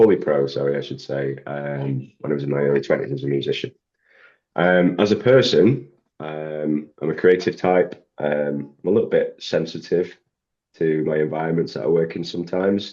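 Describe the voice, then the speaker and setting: A man speaks at a moderate pace. His pitch is very deep and low, with ordinary variation. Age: 40s. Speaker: sound engineer. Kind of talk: interview. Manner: halting.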